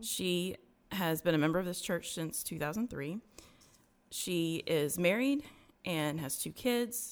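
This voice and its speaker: A woman's fairly slow delivery with lively intonation and long, frequent pauses. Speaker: podcast host and interviewee sharing testimony. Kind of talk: testimony interview.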